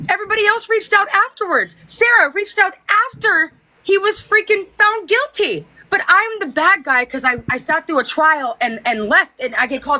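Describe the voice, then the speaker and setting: A woman's raised, projected voice, animated with a bright, sharp tone, swings very widely in pitch at a moderate pace. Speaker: TikTok livestreamer. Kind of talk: casual chat. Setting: livestream. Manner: aggressive tone.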